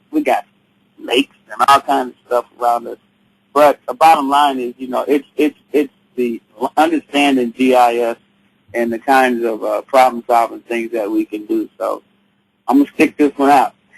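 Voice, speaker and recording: A man at a moderate pace, with big swings in loudness and a dry, close sound with no echo. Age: 60s. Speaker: teacher and social activist. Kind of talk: webinar discussion. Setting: online webinar. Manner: halting, many fillers.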